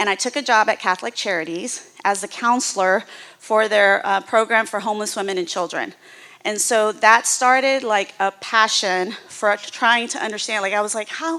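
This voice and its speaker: Loud and bright, a woman with an American accent speaks at a fairly high pitch and a moderate pace in a sharp tone. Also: ordinary pitch variation. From US South, Houston, Texas. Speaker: nonprofit executive. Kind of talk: presentation to church audience.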